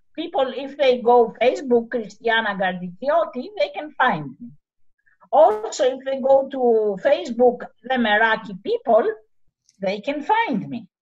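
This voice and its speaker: In a Greek accent, a woman speaks at a high pitch and a fairly slow pace, with lively intonation and big swings in loudness. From Greece, Arcadia region. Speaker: community project founder. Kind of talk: interview. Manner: halting.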